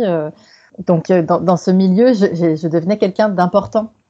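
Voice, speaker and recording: A woman talks with ordinary pitch variation around a medium pitch. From Quebec, Canada. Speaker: sex worker activist. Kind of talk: podcast interview. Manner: halting, many fillers.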